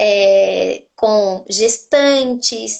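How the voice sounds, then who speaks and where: Fairly high in pitch, a woman's voice carries fairly even intonation. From Argentina. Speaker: nutritionist. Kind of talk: interview on a live stream.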